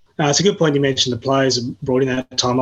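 A man with an Australian accent. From Tasmania, Australia. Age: 30s. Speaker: journalist. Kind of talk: casual interview.

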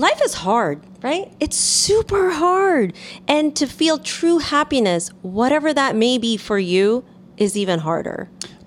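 Over noticeable background noise, a woman with a high voice speaks at a fairly slow pace, her pitch swinging very widely while her loudness stays very even. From New York City. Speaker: podcast co-host, marketer and entertainer. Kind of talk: casual chat.

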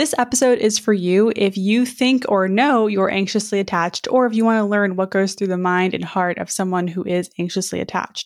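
A woman with a plain, everyday voice speaks at a fairly quick pace, her medium pitch showing ordinary variation, on a very clean recording with a silent background. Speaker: dating coach podcast host. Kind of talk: podcast interview.

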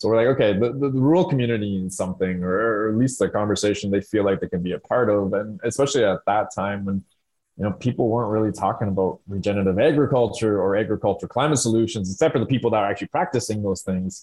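Hardly pausing at all, a man speaks at a very fast pace with a fairly low pitch and ordinary pitch variation. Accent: Ontario. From Southern Ontario, Canada. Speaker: rural climate organization worker. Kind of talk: casual interview chat.

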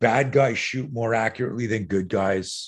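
Over a quiet background, a man with a fairly low pitch talks at a moderate pace with ordinary pitch variation. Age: 60s. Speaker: self-defense instructor. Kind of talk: interview.

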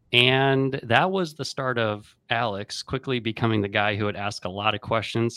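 With a normal speaking voice, a man talks at a moderate pace and medium pitch with ordinary pitch variation, in a very clean recording with a silent background and a dry, close sound with no echo. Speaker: podcast host and chiropractor. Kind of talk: interview with ad reads.

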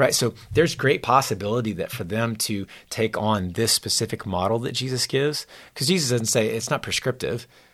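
Speaking fairly quickly with a normal speaking voice, a man keeps a medium pitch and ordinary pitch variation in a very clean recording with a silent background. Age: 40s. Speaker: youth pastor. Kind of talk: casual chat.

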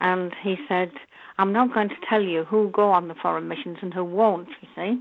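In a Yorkshire accent, a woman speaks at medium pitch with ordinary pitch variation. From northern England, North Yorkshire. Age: 70s. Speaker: nun and Braille teacher. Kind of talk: interview.

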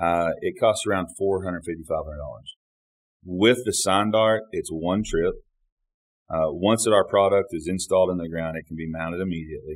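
A man with an American accent at a fairly quick pace on a very clean recording with a silent background. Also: big swings in loudness. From Oklahoma (Ada). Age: 40s. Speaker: building products sales manager. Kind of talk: interview conversation.

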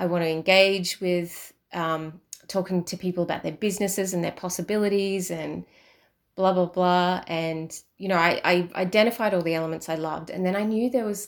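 An unremarkable speaking voice moves at a moderate pace with fairly even intonation, on a very clean recording with a silent background. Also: woman. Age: 40s. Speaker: podcast host. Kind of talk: casual solo monologue. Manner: chatty, with fillers and laughs.

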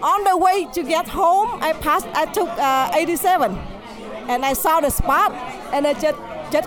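The speaker has a Vietnamese accent. Music plays in the background. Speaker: restaurant owner.

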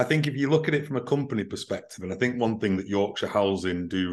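In a Mancunian accent, this speaker talks at a fairly quick pace with ordinary pitch variation over a quiet background. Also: man. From Manchester, England. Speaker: recruitment business CEO. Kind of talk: casual panel discussion. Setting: remote call.

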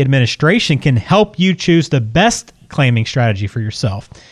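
At a fairly quick pace and with lively intonation, a man talks in an ordinary speaking voice. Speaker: podcast co-host. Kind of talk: casual chat.

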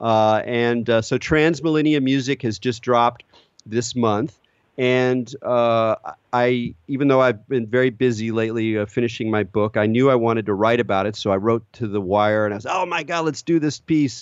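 This man speaks at a medium pitch with ordinary pitch variation. His pace is moderate. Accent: American. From California. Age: 40s. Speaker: podcast host. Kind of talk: interview; scripted narration. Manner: halting.

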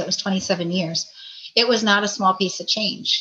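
With an American accent, a woman at medium pitch speaks at a moderate pace in a monotone, flat intonation. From Maine, US New England. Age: 50s. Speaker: navy veteran and doctor. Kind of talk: interview, casual chat.

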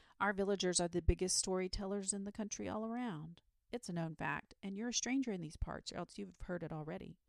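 What plays here is plain reading aloud.

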